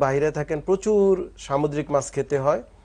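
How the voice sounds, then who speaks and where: A man speaks at a fairly high pitch. His pitch varies in an ordinary way, and the background is quiet. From Bangladesh. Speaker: doctor; guest. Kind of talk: medical interview. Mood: calm, explanatory. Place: studio. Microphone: lapel.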